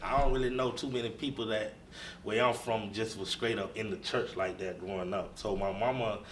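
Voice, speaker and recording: At a fairly quick pace, a man with a medium pitch and ordinary pitch variation talks amid audible room echo and noticeable background noise. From US South, north Florida. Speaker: bishop. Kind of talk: interview.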